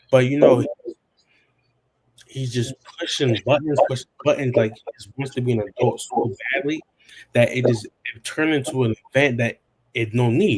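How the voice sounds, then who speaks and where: Somewhat breathy, a man talks at a moderate pace and medium pitch with ordinary pitch variation. His loudness swings widely, and he leaves long, frequent pauses. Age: young. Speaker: young man talking with his aunt. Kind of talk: casual chat. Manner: halting.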